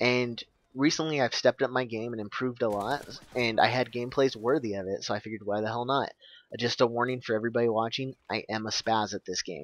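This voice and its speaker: A man at medium pitch talks at a very fast pace with fairly even intonation, in a dry, close sound with no echo and a quiet background. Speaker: gaming YouTuber. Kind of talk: gameplay commentary. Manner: stuttering; casual, rambling.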